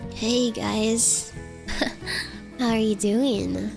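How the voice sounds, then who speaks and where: A female-sounding, put-on character voice plays against clear music in the background. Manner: flirtatious, friendly.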